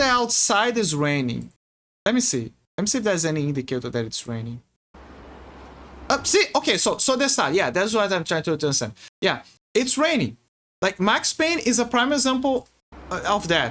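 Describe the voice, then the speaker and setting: A man with a Portuguese accent speaks at a moderate pace in a high pitch, his tone bright and sharp, with very wide pitch swings and long, frequent pauses. The recording is very clean, with a silent background. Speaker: video game streamer. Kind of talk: casual livestream commentary. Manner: halting, many repetitions and fillers.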